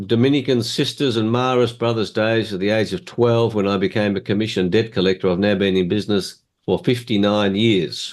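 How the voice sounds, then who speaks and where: A man with an Australian accent speaks at medium pitch. His pitch variation is ordinary. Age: 70s. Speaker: motivational speaker. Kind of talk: presentation.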